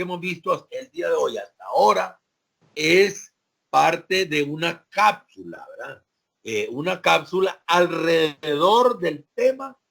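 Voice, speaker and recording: Big swings in loudness mark a man's speech. His pace is fairly slow. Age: 60s. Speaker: sociology professor. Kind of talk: lecture. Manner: hesitant, many fillers.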